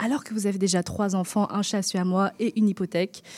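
Speaking with an ordinary speaking voice at a medium pitch, a woman talks at a moderate pace in a dry, close recording with no echo, very clean and with a silent background. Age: 20s. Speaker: radio columnist. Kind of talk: radio chronicle.

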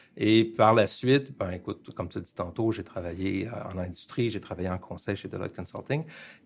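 A man talks at a fairly quick pace with a Quebec accent and ordinary pitch variation. The recording is very clean, with a silent background. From Montreal, Quebec. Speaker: management consultant. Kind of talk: radio interview.

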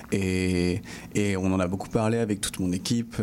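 A man's dark, mellow tone comes with fairly even intonation. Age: 20s. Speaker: film director. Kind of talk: interview.

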